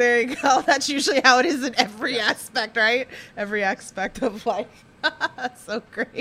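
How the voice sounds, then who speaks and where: A woman with an American accent speaks at a moderate pace in a high voice with ordinary pitch variation over noticeable background noise. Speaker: podcast host. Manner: casual, chatty, uses many filler words.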